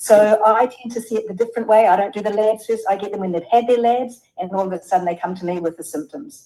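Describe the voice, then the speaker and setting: A woman with a New Zealand accent, fairly high pitch, very fast pace with hardly any pauses, ordinary pitch variation and big swings in loudness. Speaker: health practitioner. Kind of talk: webinar panel discussion.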